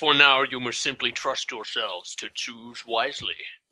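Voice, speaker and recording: A man puts on a character voice with a Scottish accent. He speaks at a moderate pace and medium pitch. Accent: Sean Connery-like. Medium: actual play. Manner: slow, solemn, portentous.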